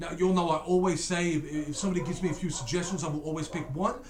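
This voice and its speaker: A man with a high pitch speaks at a very fast pace. Noticeable background noise and audible room echo are present. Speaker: YouTube reaction channel host. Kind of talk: casual reaction commentary. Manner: slurring words.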